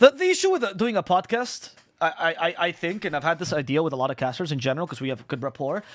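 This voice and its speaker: In a very clean recording with a silent background, a man with a high pitch speaks at a very fast pace. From Spain. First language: Spanish. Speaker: esports caster. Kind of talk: casual stream chat answering viewer comments. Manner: casual, halting with frequent restarts.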